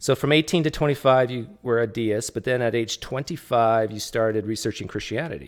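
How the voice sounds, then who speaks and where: At a fairly quick pace, a man talks at a medium pitch with ordinary pitch variation in a plain, everyday voice. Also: hardly any pauses. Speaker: livestream host, atheist. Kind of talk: casual interview.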